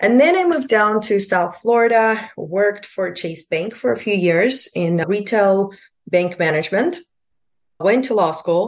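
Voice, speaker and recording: In a Russian accent, a woman at medium pitch speaks fairly slowly with lively intonation against a quiet background. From Lithuania, Russian-speaking. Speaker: immigration attorney and broker-dealer. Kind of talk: interview.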